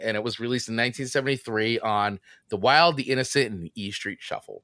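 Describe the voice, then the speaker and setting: A man with an American accent talks at a moderate pace, his pitch medium with ordinary variation. His tone is bright and sharp, and the sound is dry and close with no echo. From New Jersey. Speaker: podcast co-host. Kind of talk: casual chat. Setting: live stream.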